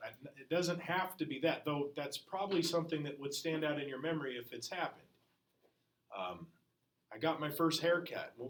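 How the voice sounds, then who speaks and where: There is audible room echo around a man's voice. He talks at a fairly quick pace with a fairly high pitch and ordinary pitch variation. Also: big swings in loudness. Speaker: history teacher. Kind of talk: classroom lecture. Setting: classroom. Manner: loud.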